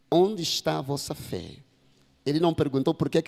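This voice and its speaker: With a Mozambican accent, a man speaks at a moderate pace in a fairly high voice with vocal fry and lively intonation, in a very clean, dry, close recording with a silent background and no echo. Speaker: pastor. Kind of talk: sermon.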